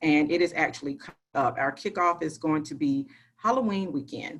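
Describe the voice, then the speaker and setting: A woman with a fairly low-pitched voice. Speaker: school staff, student council adviser. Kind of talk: online parent meeting presentation. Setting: video call. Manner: fast.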